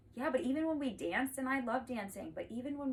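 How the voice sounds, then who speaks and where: A woman with a high-pitched voice talks at a fairly quick pace over noticeable background noise. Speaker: family and parent educator. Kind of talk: casual teaching vlog. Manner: fast; rambling, informal.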